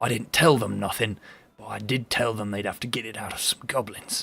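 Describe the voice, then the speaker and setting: Putting on a raspy character voice at medium pitch, a man talks at a fairly quick pace with fairly even intonation. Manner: lowered, conspiratorial voice.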